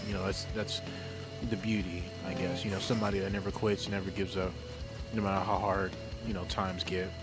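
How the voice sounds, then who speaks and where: A man speaks softly at a fairly low pitch. Music plays in the background. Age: 20s. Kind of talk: casual unscripted talk to camera. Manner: soft-spoken.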